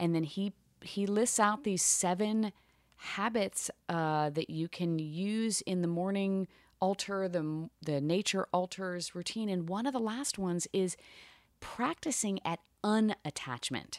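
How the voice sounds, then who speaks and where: In a very clean recording with a silent background, a woman at medium pitch speaks at a fairly slow pace with ordinary pitch variation. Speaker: podcast co-host. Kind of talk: casual chat. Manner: relaxed.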